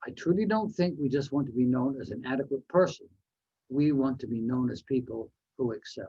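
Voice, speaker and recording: Somewhat breathy, a man talks at a fairly quick pace with lively intonation. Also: medium pitch for a man. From Canada, New Westminster, British Columbia. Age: 70s. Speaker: motivational speaker. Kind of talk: speech.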